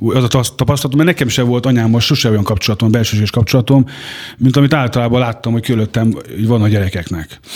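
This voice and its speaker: A man talks very fast at a medium pitch with ordinary pitch variation and very even loudness, over noticeable background noise. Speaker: former prisoner. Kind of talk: life story interview. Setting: studio. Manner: halting.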